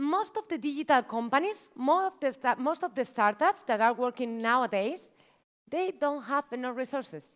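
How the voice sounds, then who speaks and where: A woman speaks in a Spanish accent at a high pitch, her voice swinging very widely in pitch at a moderate pace. The recording is very clean, with a silent background. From Spain (Barcelona). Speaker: marketing manager, workshop speaker. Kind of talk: conference talk. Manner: animated.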